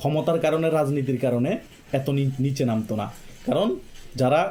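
A man's somewhat breathy, dark, mellow voice sits at fairly high pitch with ordinary pitch variation. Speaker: political commentary YouTuber. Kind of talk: political monologue. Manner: impassioned.

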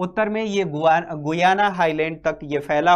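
Fairly even intonation against a quiet background. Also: man. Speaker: teacher. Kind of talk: lecture. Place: studio.

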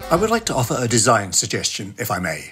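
Speaking at a moderate pace with a British accent, a man shows very wide pitch swings and vocal fry in a very clean recording with a silent background. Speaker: podcast segment contributor.

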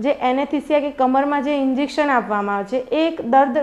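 Her voice sits high in pitch. The woman's pitch varies in an ordinary way. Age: 20s. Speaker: patient. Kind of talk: testimonial. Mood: grateful, calm. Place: home room. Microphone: lapel.

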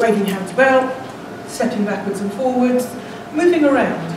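A woman with a high pitch speaks amid noticeable background noise and audible room echo. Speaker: speaker. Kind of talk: speech to a public speaking club. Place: meeting room. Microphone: camera far.

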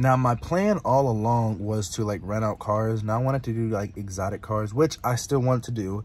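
Somewhat breathy speech at a moderate pace with ordinary pitch variation and hardly any pauses, in a dry sound with no echo. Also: man, medium pitch for a man. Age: 20s. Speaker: car YouTuber, small business starter; car rental entrepreneur vlogger. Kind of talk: casual vlog monologue. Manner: casual, filler-heavy. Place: car. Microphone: phone near.

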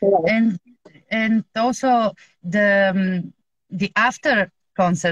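A woman with a Bulgarian accent speaks at a very slow pace in a medium pitch with ordinary pitch variation, the sound dry with no echo against a quiet background. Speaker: music fan; guest. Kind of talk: casual chat. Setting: video call. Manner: halting, searches for English words. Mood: enthusiastic about the concert. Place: home room. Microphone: video call.

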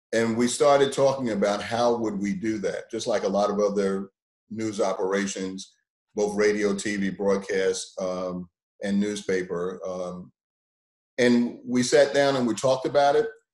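A speaker with an American accent talks at a fairly slow pace with ordinary pitch variation. The background is quiet, though room echo is audible. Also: man, fairly low pitch for a man. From Brooklyn, New York; New York. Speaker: TV station general manager. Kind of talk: panel discussion. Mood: calm, mildly optimistic. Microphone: video call.

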